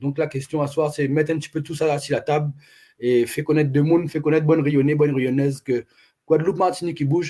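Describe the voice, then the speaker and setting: A dark, mellow tone at a very fast pace with monotone, flat intonation. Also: man. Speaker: activist livestream host. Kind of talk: casual livestream chat.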